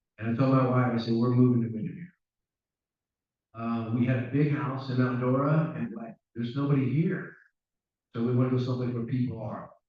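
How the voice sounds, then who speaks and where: There are long, frequent pauses as a man speaks amid audible room echo. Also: medium pitch for a man, fairly even intonation. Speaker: town council candidate, retired police officer. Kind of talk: candidate speech at a public forum. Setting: town hall forum with audience. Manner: casual, folksy.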